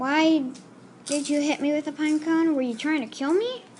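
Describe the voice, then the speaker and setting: Over clear background noise, a woman uses a put-on character voice pitched high. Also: moderate pace. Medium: read story.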